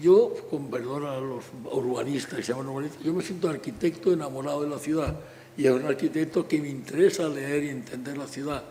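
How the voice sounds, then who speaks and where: Fairly quick speech from a man with a fairly high pitch and fairly even intonation, amid noticeable background noise. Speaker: architect. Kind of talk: public talk.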